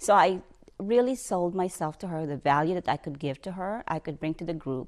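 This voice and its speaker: Lively in intonation, a woman with a Filipino accent speaks at a fairly quick pace on a very clean recording with a silent background. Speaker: bank executive. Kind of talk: interview testimony. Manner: halting.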